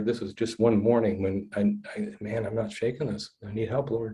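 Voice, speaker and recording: Somewhat breathy male voice, dark and mellow in tone, medium in pitch, at a moderate pace. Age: 60s. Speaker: trauma-informed counselor. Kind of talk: podcast interview, personal story. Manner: halting, repeats words.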